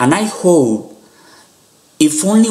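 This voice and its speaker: A man speaks with a non-native accent over noticeable background noise. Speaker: youtuber, animation fan. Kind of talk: video commentary monologue. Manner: halting, with frequent fillers.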